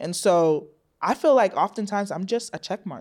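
A plain, everyday voice at a fairly quick pace, with ordinary pitch variation and a very clean recording against a silent background. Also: woman. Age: 20s. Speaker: clinical psychology student. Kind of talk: casual chat.

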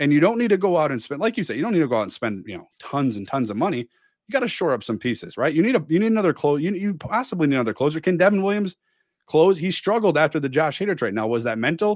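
On a very clean recording with a silent background, a man with an American accent talks at a very fast pace and fairly high pitch, with very wide pitch swings and hardly any pauses. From Milwaukee, Wisconsin. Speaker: sports podcast host, army veteran. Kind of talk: casual chat.

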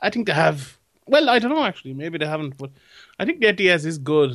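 A man speaks with a Limerick accent. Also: quiet background. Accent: Irish (Limerick). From Limerick, Ireland. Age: young. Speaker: MMA pundit. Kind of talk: casual chat.

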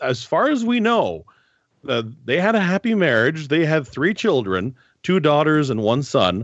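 A fairly high-pitched man with a Northern Ontario accent, very wide pitch swings, very even loudness and a moderate pace. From Northern Ontario, Canada. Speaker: historian. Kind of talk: interview. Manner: halting, many fillers.

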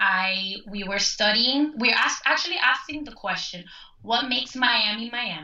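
There is noticeable background noise as a woman speaks. She talks at a moderate pace with lively intonation. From Cuban-American, Cuban family from Spain. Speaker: folklorist. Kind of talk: casual interview. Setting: phone call.

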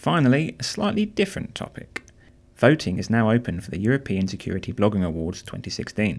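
A man with fairly low pitch, a very fast pace, lively intonation and big swings in loudness. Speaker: podcast host. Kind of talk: scripted news reading. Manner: fast talker.

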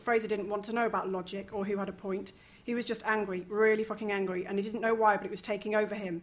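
The reading is done aloud in a natural voice. Intonation holds fairly even throughout.

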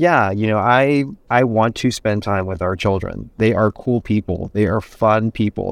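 A man's normal speaking voice, fairly low and fairly even in intonation, at a moderate pace, dry and close with no echo in a very clean recording with a silent background. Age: 50s. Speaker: interior designer and TV personality. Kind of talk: interview conversation.

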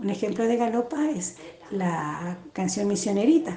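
A woman speaks at a moderate pace with lively intonation. Background noise is noticeable. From Corrientes, Argentina, raised in Misiones. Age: 50s. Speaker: music teacher and actress. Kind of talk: interview.

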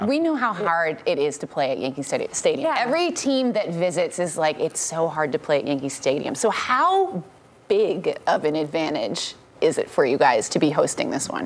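Moderate-paced female speech under clearly audible background noise. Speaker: sports show host. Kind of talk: casual chat. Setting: studio.

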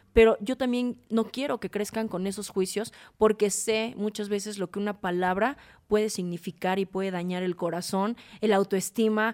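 Recorded very cleanly against a silent background, this dry, close sound with no echo carries monotone, flat intonation at a moderate pace. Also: woman. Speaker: fashion stylist and image consultant. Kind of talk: casual chat.

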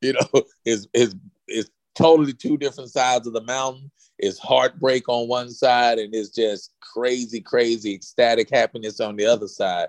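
In a plain, everyday voice, a man of medium pitch talks at a moderate pace with ordinary pitch variation, the sound dry and close with no echo. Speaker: former NFL player and author. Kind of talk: casual interview chat. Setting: remote call from Dallas.

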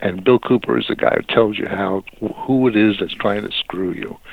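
A man's fairly low voice moves at a moderate pace, its pitch varying in an ordinary way, with noticeable noise in the background. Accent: American. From US Northeast, Brooklyn, New York. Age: 70s. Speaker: author and journalist. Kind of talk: interview. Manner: halting, many fillers.

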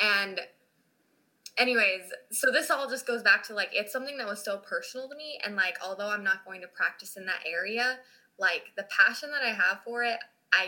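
A woman with an ordinary speaking voice and an American accent talks at a fairly quick pace, at medium pitch with ordinary pitch variation. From Utah. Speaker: law student. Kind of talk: interview.

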